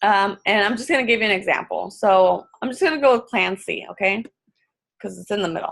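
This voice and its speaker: A woman's bright, sharp tone carries vocal fry at a medium pitch with ordinary pitch variation. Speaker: fitness coach. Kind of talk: tutorial. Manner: fast; casual, filler-heavy.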